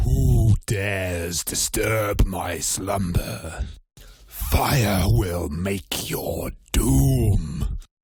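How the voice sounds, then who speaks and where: A put-on character voice from a man, raspy, with a very deep, low pitch and a very slow pace. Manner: menacing.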